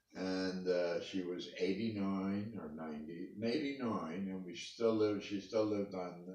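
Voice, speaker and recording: In a room with audible echo, a man talks with a very deep, low pitch. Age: 80s+. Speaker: interviewee, parent of the interviewer. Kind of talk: family interview.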